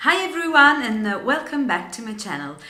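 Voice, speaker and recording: A woman in an Italian accent speaks with very wide pitch swings, with audible room echo and noticeable background noise. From Italy. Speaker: DIY and home decor vlogger. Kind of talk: tutorial. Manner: halting.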